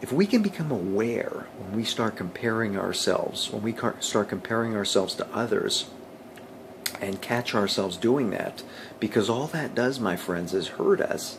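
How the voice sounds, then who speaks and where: The speaker keeps a moderate pace while noticeable background noise carries on behind. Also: man. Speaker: motivational vlogger. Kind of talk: motivational talk to camera.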